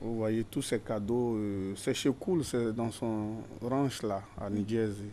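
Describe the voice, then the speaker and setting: Speaking at a very slow pace, a man uses a dark, mellow tone at medium pitch with fairly even intonation. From Côte d'Ivoire (Abidjan), moved to US young. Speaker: music industry figure, former footballer. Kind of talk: TV interview. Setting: TV studio. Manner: halting, many fillers.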